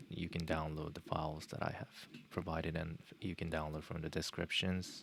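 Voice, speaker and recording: With a Japanese accent, a man talks at a moderate pace in a very deep, low pitch and a fairly even intonation. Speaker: software tutorial streamer. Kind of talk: live tutorial. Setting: live stream. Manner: halting, many fillers.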